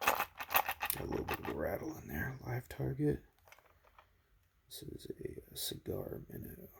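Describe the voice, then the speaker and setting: A soft-spoken man with a relaxed tone, a fairly slow pace, long and frequent pauses, and big swings in loudness. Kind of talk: ASMR unboxing, casual talk to camera. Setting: near-mic home recording with crinkling package sounds. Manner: soft-spoken, relaxed.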